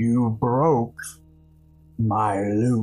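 In a booming, put-on character voice at a medium pitch, a man speaks over faint music in the background. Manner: accusing, imposing.

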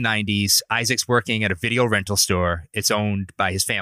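A man with a Rhode Island accent at a fairly quick pace, bright and sharp in tone with a fairly low pitch, on a very clean recording with a silent background and a dry, close sound with no echo. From Providence, Rhode Island. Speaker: editor and music enthusiast. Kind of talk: casual interview chat.

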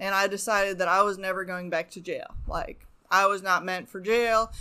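A woman with an American accent speaks at a moderate pace and medium pitch, her tone bright and sharp. Her intonation is monotone and flat, and the recording is very clean with a silent background. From Arizona. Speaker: addiction recovery worker. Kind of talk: personal testimony. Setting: home woodshop studio.

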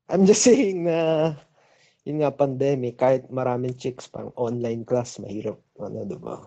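A normal speaking voice, a man at medium pitch and moderate pace, lively in intonation with big swings in loudness. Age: 20s. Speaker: caller, college student. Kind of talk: call-in conversation. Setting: phone call.

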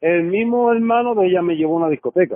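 A man talks at a moderate pace in a high pitch with ordinary pitch variation. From Puerto Rico. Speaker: storyteller guest. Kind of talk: casual chat.

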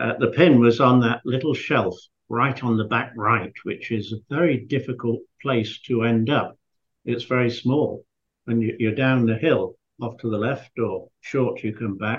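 A man with a Yorkshire accent, medium pitch, somewhat breathy, fairly slow pace and fairly even intonation. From northern England, Scarborough, Yorkshire. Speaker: golf course architect and former pro golfer. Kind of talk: interview.

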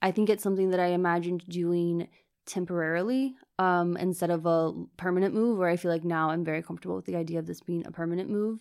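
A woman with a Virginia accent speaks at a very fast pace, fairly low in pitch with fairly even intonation, on a very clean recording with a silent background. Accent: American (Virginia). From US, Virginia (Richmond suburbs). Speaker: interviewee, immigrant. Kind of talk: interview.

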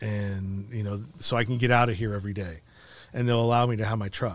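With a plain, everyday voice, the speaker moves at a fairly quick pace and shows ordinary pitch variation. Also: man, very clean recording, silent background. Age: 40s. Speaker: nonprofit founder and podcaster, formerly incarcerated. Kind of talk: casual interview, personal life story.

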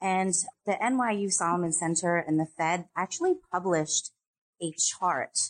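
A woman with a plain, everyday voice talks fairly slowly at a medium pitch with ordinary pitch variation, in a dry, close sound with no echo. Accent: American. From upstate New York. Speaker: client services manager at a financial risk company. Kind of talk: interview.

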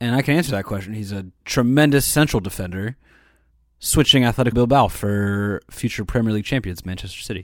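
The recording is very clean, with a silent background. It carries an unremarkable speaking voice with ordinary pitch variation. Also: man, medium pitch for a man, fairly quick pace. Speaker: podcast co-host. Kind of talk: casual banter.

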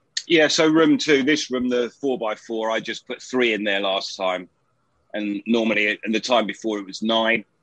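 With a British accent and medium pitch, a man speaks at a moderate pace with ordinary pitch variation, the sound dry and close with no echo. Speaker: home grower. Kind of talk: casual chat.

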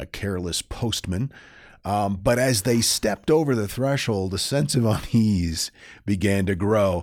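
With an American accent, a man speaks in a plain, everyday voice at a moderate pace, with a fairly low pitch and ordinary pitch variation. The recording is very clean, with a silent background. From northern Maine, US. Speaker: podcast co-host, storyteller. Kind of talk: casual storytelling chat.

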